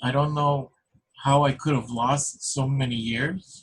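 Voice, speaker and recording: The speaker is somewhat breathy and talks at a very slow pace with fairly even intonation. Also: man. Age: 60s. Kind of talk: casual chat. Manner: halting.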